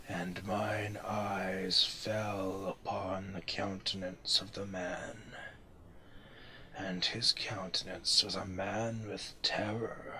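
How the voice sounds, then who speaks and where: A man puts on a character voice, fairly low in pitch and at a very slow pace. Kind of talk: gothic horror narration. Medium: read story. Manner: solemn, archaic, incantatory.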